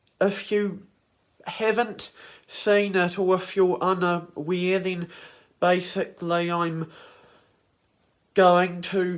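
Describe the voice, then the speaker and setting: Speaking at a very slow pace, a man with a high voice talks in a New Zealand accent. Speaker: YouTuber, creator of animated characters. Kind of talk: casual talk to camera. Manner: hesitant, many fillers.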